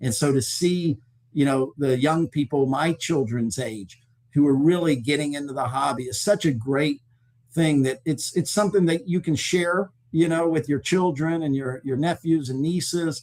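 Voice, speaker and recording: A man's unremarkable speaking voice, pitched fairly high, at a moderate pace with ordinary pitch variation. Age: 60s. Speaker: sports memorabilia company executive. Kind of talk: interview.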